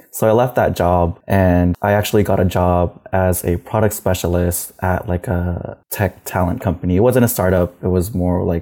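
A man with an American accent speaks at a fairly quick pace in a very deep, low pitch with a dark, mellow tone. His loudness stays very even, and the recording is very clean with a silent background. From US and Philippines. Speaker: people operations manager. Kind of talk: interview.

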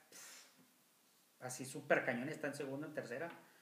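Audible room echo and noticeable background noise accompany a man speaking at a fairly high pitch. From Monterrey, Mexico. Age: 40s. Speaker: podcast co-host. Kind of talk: casual chat.

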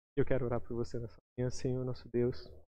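A man at a fairly quick pace, medium pitch and fairly even intonation, in audible room echo. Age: 20s. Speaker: lay preacher. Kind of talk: sermon; testimony.

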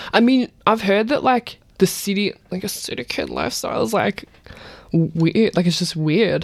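With an Australian accent, a woman speaks at a medium pitch. Her intonation is lively and her pace moderate. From Melbourne, Australia (Point Cook). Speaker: musician. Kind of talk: casual chat.

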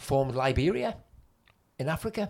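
This man talks at a moderate pace in a Geordie accent. The recording is very clean, with a silent background. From Newcastle, North East England. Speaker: comedian and podcast co-host. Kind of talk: casual chat about history.

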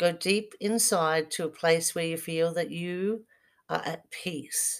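The recording is very clean with a silent background. A woman speaks very slowly at a fairly low pitch with fairly even intonation. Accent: Australian. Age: 50s. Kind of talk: casual monologue with guided relaxation.

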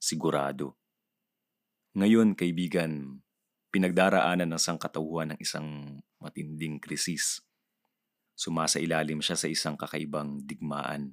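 A man's very deep, low voice in a calm tone, fairly slow and fairly even in intonation, with long, frequent pauses and a dry, close sound with no echo. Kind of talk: audiobook reading of a reflective spoken-word piece. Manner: hushed, meditative, calm and tender, with pauses.

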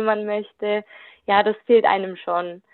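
A woman speaks at a fairly slow pace in a fairly high pitch, with an ordinary speaking voice. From Germany, Württemberg. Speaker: youth work volunteer. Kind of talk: interview.

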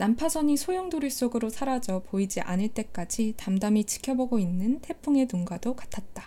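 Pitched fairly high, a woman talks with lively intonation and hardly any pauses. Background noise is noticeable. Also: moderate pace. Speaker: podcast host. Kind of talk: casual book-talk chat. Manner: emotional, animated.

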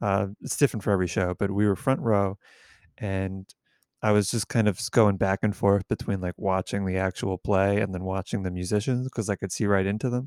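A man with an unremarkable speaking voice talks at a fairly low pitch with fairly even intonation, in a very clean recording with a silent background and a dry, close sound with no echo. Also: fairly quick pace. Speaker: touring musician and podcaster. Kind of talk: casual chat.

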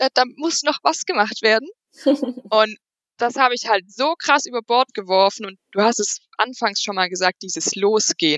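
A woman's fairly high voice, lively in intonation, at a moderate pace. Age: 20s. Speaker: side business coach. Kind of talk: interview.

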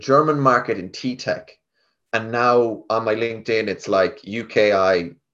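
In a Galway accent, a man talks at a fairly slow pace. His intonation is lively, and the background is quiet. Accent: Galway Irish. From west of Ireland, Galway. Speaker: tech sales rep. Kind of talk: casual interview.

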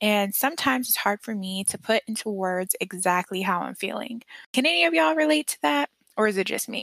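Here a woman with a plain, everyday voice and a medium pitch talks at a fairly quick pace, the sound dry and close with no echo. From US, moved among several states, mostly Texas. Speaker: podcast host, HR graduate student. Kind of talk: casual solo podcast talk.

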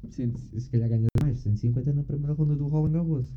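A man speaks at a fairly high pitch with ordinary pitch variation. Noticeable background noise runs underneath. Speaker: podcast host. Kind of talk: casual chat.

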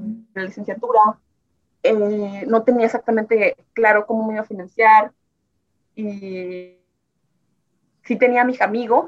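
The pitch is fairly high. A woman is the one talking. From Nicaragua, Tipitapa near Managua. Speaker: immigrant sharing life story. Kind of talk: interview testimony.

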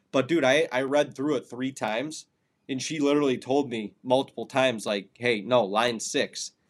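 An ordinary speaking voice from a man, medium in pitch, with an American accent, a moderate pace, fairly even intonation and a quiet background. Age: 30s. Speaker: hunting podcast co-host. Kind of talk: casual chat.

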